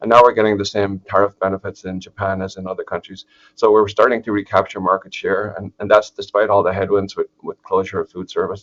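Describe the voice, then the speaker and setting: Very fast and with hardly any pauses, a man with a fairly low pitch speaks in an Irish accent with monotone, flat intonation and big swings in loudness, the sound dry and close with no echo. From Ireland, southeast. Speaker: agricultural economist, professor. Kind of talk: webinar presentation. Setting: online webinar. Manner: hesitant, many fillers and restarts.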